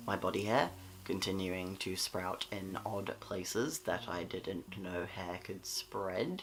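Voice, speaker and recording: In an Australian accent, a man with a very deep, low pitch talks at a very slow pace with fairly even intonation. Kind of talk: casual talk to camera. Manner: sleepy, late-night.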